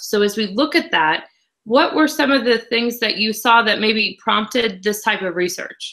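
A woman with an American accent and a bright, sharp tone, at a fairly slow pace over a quiet background. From Illinois, US Midwest. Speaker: agricultural news reporter. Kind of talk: interview. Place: home room.

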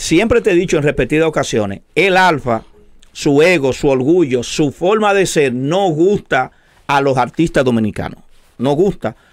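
Over a quiet background, a man talks at a moderate pace. His pitch is fairly high. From Dominican Republic. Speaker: show co-host. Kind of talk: casual debate. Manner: animated. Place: studio. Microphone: studio mic.

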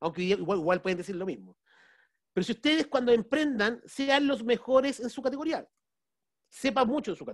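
Over a quiet background, a man with an extremely high voice talks at a fairly quick pace, his intonation lively and his loudness swinging widely. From Chile. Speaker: business strategy consultant and speaker; speaker. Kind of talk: webinar talk. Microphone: video call.

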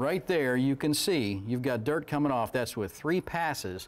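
Using lively intonation, a man talks at a moderate pace. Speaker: guest. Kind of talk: tutorial. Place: studio.

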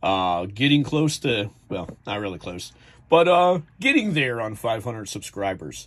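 Speaking very slowly with an American accent, a man lets his pitch swing very widely. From New Jersey. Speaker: YouTuber reviewing trading cards; collector reviewing a card set. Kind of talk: casual video review; casual review chat. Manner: hesitant, many fillers. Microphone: phone near.

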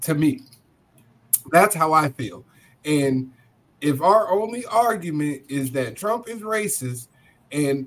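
A man talks at a fairly slow pace. His pitch swings very widely. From United States. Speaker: podcast panelist. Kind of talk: heated debate. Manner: animated. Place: home room.

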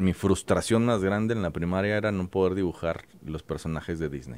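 This man's voice is very deep and low, with lively intonation at a moderate pace. The sound is dry with no echo. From Mexico, Guadalajara; Jalisco, Mexico. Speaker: cartoonist; guest. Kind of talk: interview; interview answer. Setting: studio. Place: studio. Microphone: studio mic.

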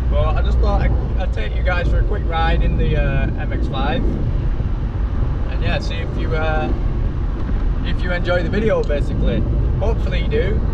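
Speech moves at a moderate pace with long, frequent pauses. Loud background noise runs underneath. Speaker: vlogger. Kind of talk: casual vlog chat. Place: car. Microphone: camera far.

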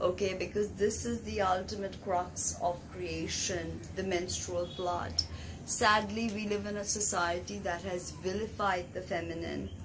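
Against noticeable background noise, a woman delivers her words at a fairly slow pace. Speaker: tarot reader and spiritual healer. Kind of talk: educational lecture.

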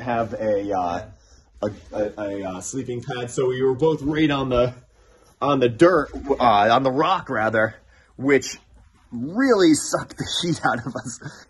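A man's somewhat breathy voice at a fairly slow pace, with ordinary pitch variation, long and frequent pauses, and light background noise. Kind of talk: casual vlog chat. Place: tunnel cave. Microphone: phone near.

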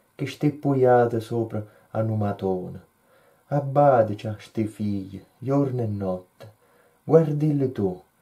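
A man speaks very slowly, leaving long, frequent pauses. His voice is somewhat breathy, with a dark, mellow tone. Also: medium pitch for a man, ordinary pitch variation. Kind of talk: poetry reading.

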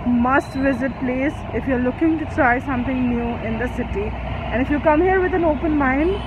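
The woman talks at a moderate pace with ordinary pitch variation. Noticeable background noise sits behind a dry sound with no echo. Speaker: food vlogger. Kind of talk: casual vlog chat. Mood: relaxed, pleased. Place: street. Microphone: phone near.

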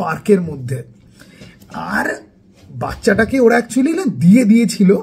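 Over noticeable background noise, a man speaks in an animated tone with a high pitch. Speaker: YouTuber film reviewer. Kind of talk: casual film review vlog.

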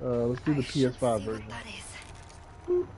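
A man is speaking with ordinary pitch variation. Noticeable background noise runs under his voice. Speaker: fellow gamer joining the stream. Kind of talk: casual chat during online gameplay. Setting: online voice chat.

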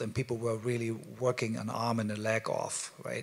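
A man with a German accent speaks at medium pitch and a moderate pace. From Germany. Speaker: media artist; presenter. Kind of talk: panel presentation. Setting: stage with audience.

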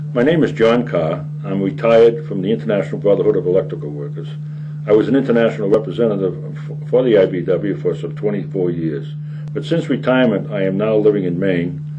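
There is noticeable background noise behind this voice. A man talks at a very fast pace. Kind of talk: interview answer. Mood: earnest political argument. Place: studio.

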